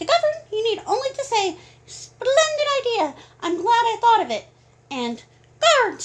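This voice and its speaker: Doing a squeaky, put-on character voice, a woman goes extremely high in pitch with very wide pitch swings, a moderate pace and long, frequent pauses. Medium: read story. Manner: refined, proper.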